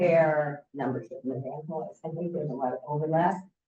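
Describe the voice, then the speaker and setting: A woman with a very deep, low voice speaks at a fairly quick pace, somewhat breathy, her intonation fairly even. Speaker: congregation member. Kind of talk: casual chat. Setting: church.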